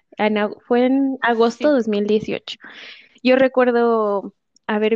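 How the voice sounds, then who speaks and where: Woman with a Mexican accent, fairly high pitch and a dark, mellow tone, dry and close with no echo over a quiet background. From Mexico. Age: 20s. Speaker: au pair. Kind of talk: testimony. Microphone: connection dropping briefly.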